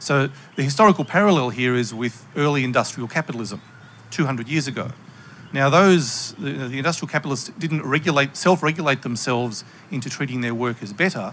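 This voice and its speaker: A man's plain, everyday voice, fairly high in pitch with ordinary variation, at a fairly quick pace. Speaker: panelist. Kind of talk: panel discussion. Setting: stage with audience.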